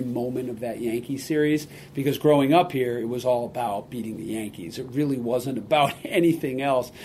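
Audible room echo surrounds a man talking at a medium pitch with fairly even intonation. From Massachusetts, Boston area. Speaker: sports team executive. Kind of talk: interview. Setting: stadium office.

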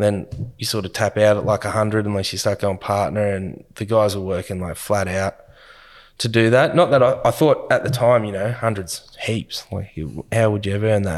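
With ordinary pitch variation and a moderate pace, a man speaks at a fairly low pitch. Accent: Australian. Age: 30s. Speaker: business owner. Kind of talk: interview. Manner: casual, with fillers.

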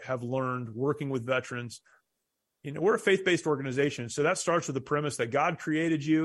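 Against a quiet background, an ordinary speaking voice comes through with ordinary pitch variation. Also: man. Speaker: war veteran and pastor. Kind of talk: interview.

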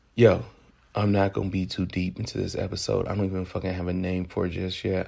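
A man with an American accent speaks at a very deep, low pitch with vocal fry, a dark, mellow tone and very wide pitch swings. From US South, Memphis, Tennessee. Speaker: podcast host. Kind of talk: casual podcast monologue.

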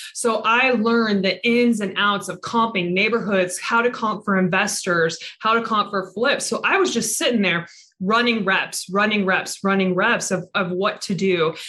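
A woman with a Pacific Northwest accent and fairly even intonation. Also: medium pitch for a woman, moderate pace, very even loudness. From Everett, Washington (Seattle area). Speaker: real estate investor. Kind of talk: interview.

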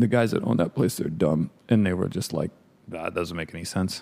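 With an American accent, a man speaks in a very deep, low voice with ordinary pitch variation. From San Francisco, US. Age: 40s. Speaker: pastry chef and ice cream shop owner. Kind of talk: casual interview. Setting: studio.

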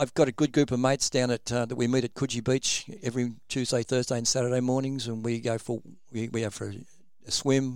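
On a very clean recording with a silent background, a man with an Australian accent speaks at a fairly quick pace in a medium pitch with monotone, flat intonation. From Sydney, Australia. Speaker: former rugby league player. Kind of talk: interview. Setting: studio. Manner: halting, many ums.

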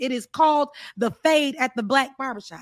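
A woman with an American accent in a normal speaking voice, fairly quick, with ordinary pitch variation, in a dry, close sound with no echo and a very clean recording with a silent background. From US South, South Florida. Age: 30s. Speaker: political commentator. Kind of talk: casual chat.

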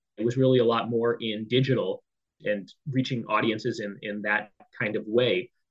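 This man has a medium-pitched, normal speaking voice with an American accent and talks at a moderate pace. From US West Coast, San Diego, California. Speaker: newsletter editor. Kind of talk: interview.

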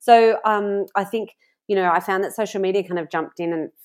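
A woman speaks fairly quickly, her pitch varying in an ordinary way, with a quiet background behind her. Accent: Australian. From Australia (Sydney). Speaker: farmer, author and food blogger. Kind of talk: casual interview chat.

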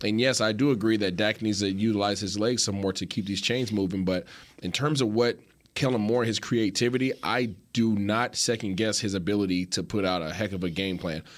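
A man talks fairly quickly in a plain, everyday voice, fairly low in pitch with ordinary pitch variation. The recording is very clean, with a silent background. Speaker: sports show co-host. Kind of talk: casual sports talk.

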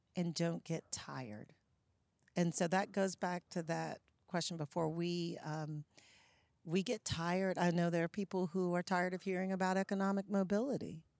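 In a very clean recording with a silent background and dry, close sound with no echo, a woman with an American accent and a normal speaking voice speaks at a moderate pace, fairly low in pitch with fairly even intonation. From US South, Charlotte, North Carolina. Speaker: nonprofit executive director, former TV journalist. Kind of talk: interview conversation.

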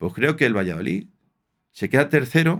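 The recording is very clean with a silent background. A man speaks with very wide pitch swings. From Spain, Aranjuez (Madrid region). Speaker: former professional footballer. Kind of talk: casual interview.

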